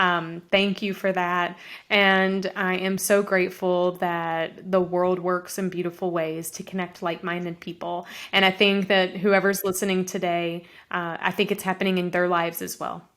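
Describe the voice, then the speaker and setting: A woman speaks at medium pitch and a moderate pace, in a monotone with flat intonation. The recording is very clean, with a silent background. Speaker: author and speaker, business coach. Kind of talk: interview. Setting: podcast interview.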